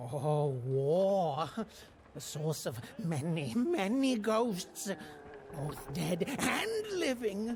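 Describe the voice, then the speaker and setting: At a very slow pace, a put-on character voice of middle pitch comes through over clear background noise. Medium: video game. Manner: theatrical, hesitant.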